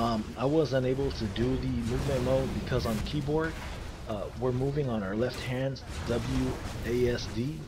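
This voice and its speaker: With noticeable background noise and audible room echo around him, a man talks. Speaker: gaming video creator. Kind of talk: tutorial. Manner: hesitant, many fillers; loud.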